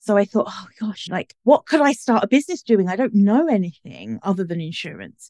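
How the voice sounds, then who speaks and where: A woman with a British accent and lively intonation, in a dry, close sound with no echo. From UK. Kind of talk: casual interview.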